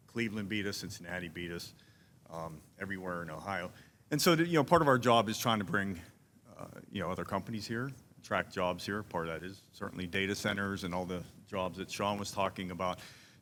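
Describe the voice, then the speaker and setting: A man in a Pittsburgh accent, fairly low in pitch and very fast in pace, with ordinary pitch variation, big swings in loudness and audible room echo. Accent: Pittsburgh (Yinzer). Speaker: commercial real estate consultant. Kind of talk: town hall panel talk. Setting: town hall with audience.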